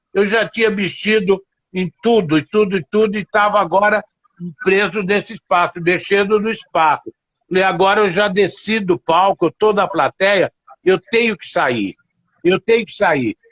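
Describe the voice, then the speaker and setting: A man speaks with a high pitch. His pitch variation is ordinary. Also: moderate pace. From Minas Gerais, Brazil. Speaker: theatre director and teacher. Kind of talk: interview answer. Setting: video call.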